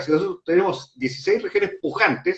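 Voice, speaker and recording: This man speaks at a moderate pace in a Chilean accent, his pitch swinging very widely. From Chile, Valparaíso. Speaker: politician, presidential candidate. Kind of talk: political interview conversation.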